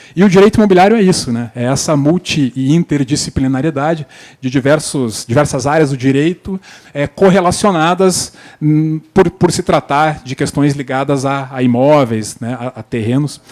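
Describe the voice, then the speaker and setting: Speaking with a Paraná accent, a man talks at a fairly high pitch. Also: ordinary pitch variation, moderate pace, dry, close sound with no echo. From Paraná, southern Brazil. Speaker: panel moderator, lawyer. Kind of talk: conference panel moderation. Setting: stage with audience. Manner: hesitant, many fillers.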